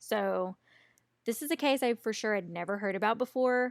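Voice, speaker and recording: Captured in a very clean recording with a silent background and a dry, close sound without echo, the voice moves at a fairly slow pace with an American accent and ordinary pitch variation. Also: woman. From US South. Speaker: true crime podcast co-host. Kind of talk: casual chat. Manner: animated.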